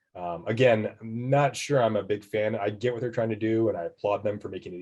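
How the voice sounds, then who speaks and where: Against a quiet background, a man with a fairly low voice talks at a very fast pace. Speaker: tax professional presenting a webinar. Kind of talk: webinar presentation.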